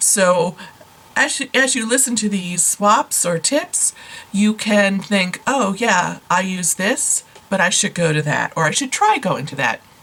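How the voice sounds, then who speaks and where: Her delivery is fairly slow. There is noticeable background noise. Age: 60s. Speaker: beauty vlogger. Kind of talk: tutorial. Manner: casual, conversational.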